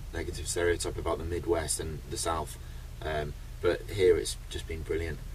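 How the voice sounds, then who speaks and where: Light background noise behind a man talking. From UK. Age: 20s. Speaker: record-breaking traveller. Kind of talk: interview. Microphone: phone near.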